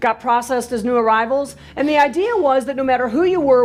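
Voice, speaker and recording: Talking very fast in a New York accent, a high-pitched woman uses lively intonation over noticeable background noise. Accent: sounds like a New Yorker. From US Midwest, Milwaukee, Wisconsin. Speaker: professional speaker. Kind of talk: presentation. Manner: casual.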